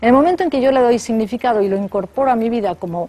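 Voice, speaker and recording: Over music in the background, a woman speaks with a Spanish accent at a fairly high pitch. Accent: Peninsular Spanish. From Spain. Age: 60s. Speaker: philosophy professor. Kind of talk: radio interview. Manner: hesitant, thinking aloud.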